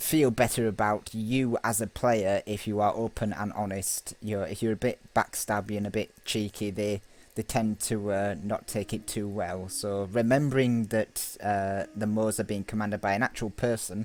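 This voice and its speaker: A man with a Yorkshire accent, monotone and flat, hardly any pauses, on a very clean recording with a silent background. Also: fairly low pitch for a man, moderate pace. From Yorkshire, northern England. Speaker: gaming YouTuber. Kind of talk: gameplay commentary. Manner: hesitant, many fillers.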